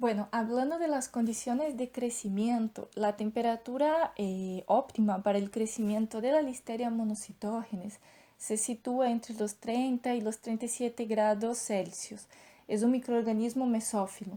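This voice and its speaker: At a fairly slow pace, a woman with a Brazilian accent speaks in a dark, mellow tone with fairly even intonation, in a very clean recording with a silent background. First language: Portuguese (speaking Spanish). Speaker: doctoral student in veterinary science. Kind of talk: lecture. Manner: hesitant, with filler sounds.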